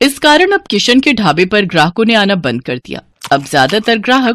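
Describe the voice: Her medium-pitched voice moves through big pitch swings as this woman speaks at a moderate pace.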